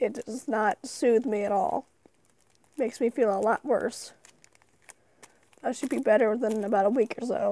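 Quiet and dark, mellow in tone, a woman talks at a moderate pace with a fairly high pitch and ordinary pitch variation. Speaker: YouTuber opening card packs. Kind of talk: casual unboxing commentary.

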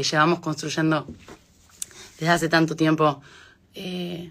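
A woman at fairly low pitch and a fairly slow pace. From Argentina, moved to Spain at age 9. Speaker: singer. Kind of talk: casual talk in an Instagram live. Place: home room. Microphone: phone near.

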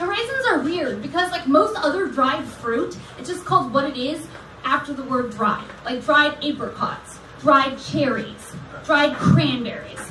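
A raised, projected voice with lively intonation moves at a fairly slow pace, with big swings in loudness. Light background noise and audible room echo are present. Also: woman. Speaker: comedian. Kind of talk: casual chat. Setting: stage with audience. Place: stage.

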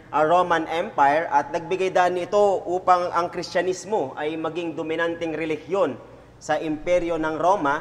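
At a fairly slow pace, a man talks in a high pitch. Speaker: preacher. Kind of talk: sermon. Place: church. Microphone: lapel.

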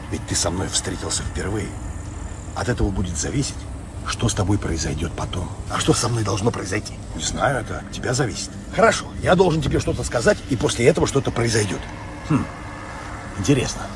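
Amid noticeable background noise, a man with a fairly low pitch speaks at a fairly quick pace in a dry sound with no echo. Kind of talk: comedic acted dialogue. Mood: ironic, confrontational. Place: open country. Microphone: phone near.

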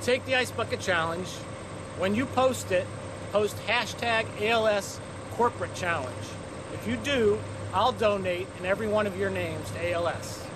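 A man at a moderate pace, noticeable noise in the background. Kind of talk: charity challenge appeal to camera. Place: street.

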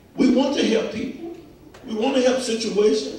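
A man at an extremely high pitch, animated in tone, talking at a fairly quick pace with ordinary pitch variation and strong room echo. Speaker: preacher. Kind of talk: sermon. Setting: church. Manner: animated, emphatic call-and-response preaching with repetitions and stumbles. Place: church.

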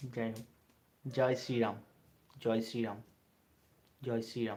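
The voice belongs to a man with a medium pitch. His intonation stays monotone and flat. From West Bengal, India (Bangaon). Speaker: YouTuber. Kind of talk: live stream chat.

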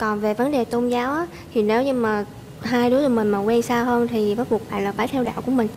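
A woman with a plain, everyday voice and fairly high pitch talks at a fairly quick pace with fairly even intonation and very even loudness, over light background noise. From Southern Vietnam, Tien Giang; Southern Vietnam. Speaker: dating show contestant. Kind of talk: casual chat. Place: studio.

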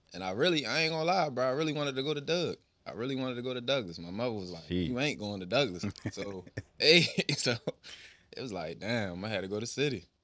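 This man talks at a very fast pace with very wide pitch swings. His tone is bright and sharp. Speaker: podcast guest. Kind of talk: interview answer. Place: studio. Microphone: studio mic.

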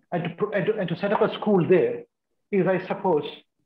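Amid audible room echo, a man talks at a moderate pace with a high pitch. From India, Kerala (Kochi). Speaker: retired senior civil servant, keynote speaker; keynote speaker. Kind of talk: keynote talk. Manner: halting. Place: home room. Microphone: video call.

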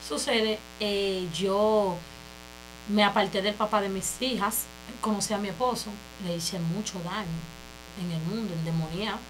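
A woman speaks with fairly even intonation and long, frequent pauses over light background noise. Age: 20s. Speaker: church member giving testimony; interview guest. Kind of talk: testimony. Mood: earnest, emotional testimony. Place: studio.

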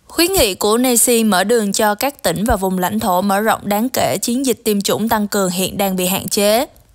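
A woman with a normal speaking voice talks at a fairly quick pace with hardly any pauses, using a medium pitch, ordinary pitch variation, and very even loudness. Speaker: news editor and co-anchor. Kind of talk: news reading. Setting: studio. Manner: formal.

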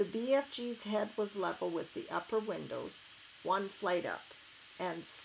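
The pitch shifts in an ordinary way as someone reads aloud in a natural voice.

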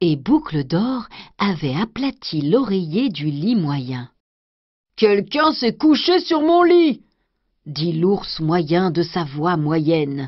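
Speech comes very slowly, with very wide pitch swings. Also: woman, fairly low pitch for a woman. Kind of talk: bedtime story reading aloud of a fairy tale, scripted narration. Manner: gentle, slow, soothing storyteller pace.

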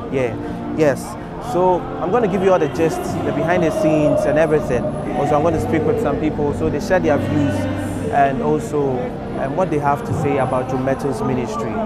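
Over loud background music, the speech moves at a fairly quick pace, and the sound is dry with no echo. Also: man. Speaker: event vlogger host. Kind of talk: presenter intro to camera. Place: stadium. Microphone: handheld.

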